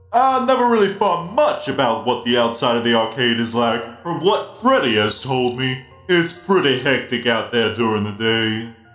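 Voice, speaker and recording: A man in a put-on character voice at a medium pitch and moderate pace, with faint music in the background. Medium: dub. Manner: friendly, cheerful.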